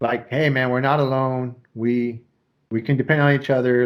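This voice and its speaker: A mumbling man at a medium pitch, with fairly even intonation and a fairly quick pace. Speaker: podcast host. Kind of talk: casual chat. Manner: mumbling a little.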